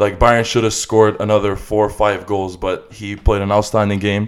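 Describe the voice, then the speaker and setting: Delivered at a moderate pace, the voice has an animated tone on a very clean recording with a silent background. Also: man. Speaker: football podcast co-host. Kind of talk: casual sports podcast discussion. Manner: animated, profane, excitable.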